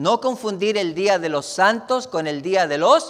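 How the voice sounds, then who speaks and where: Very slowly, a man talks with very wide pitch swings. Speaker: pastor. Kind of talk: sermon.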